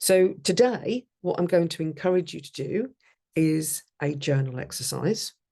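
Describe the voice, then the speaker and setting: A woman speaks at a very slow pace in a very deep, low voice with a dark, mellow tone. Her pitch variation is ordinary, and the background is quiet. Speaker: life coach. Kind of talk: workshop.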